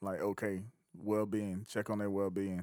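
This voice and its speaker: The background is silent and the recording very clean. The speaker is a man. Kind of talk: casual chat. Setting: studio.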